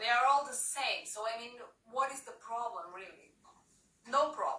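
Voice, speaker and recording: Bright and sharp, a woman's high-pitched voice with a strong non-native accent moves at a moderate pace through audible room echo. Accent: strong foreign accent, often taken for French. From Portugal. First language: Portuguese. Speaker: comedian. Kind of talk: stand-up. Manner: animated.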